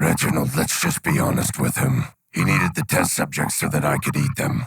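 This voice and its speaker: A man puts on a raspy character voice, very deep and low in pitch, and talks at a fairly quick pace. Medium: audio drama. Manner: menacing.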